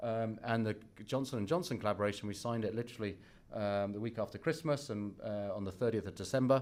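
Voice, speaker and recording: A man with a British accent speaks very fast at a fairly low pitch, with lively intonation. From England. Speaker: company finance executive. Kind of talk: investor presentation. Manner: halting, many fillers.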